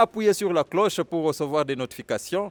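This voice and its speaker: Over noticeable background noise, a speaker with a Kenyan accent uses lively intonation, the sound dry and close with no echo. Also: man. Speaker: video host, interviewer. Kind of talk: channel outro appeal; interview.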